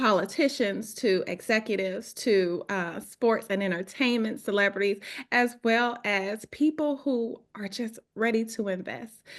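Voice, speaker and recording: A woman with a strong Southern US accent and fairly high pitch, at a fairly slow pace with hardly any pauses and ordinary pitch variation, over a quiet background. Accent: heavy Southern US. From US South, Georgia. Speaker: real estate agent. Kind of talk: webinar presentation. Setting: video call. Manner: halting.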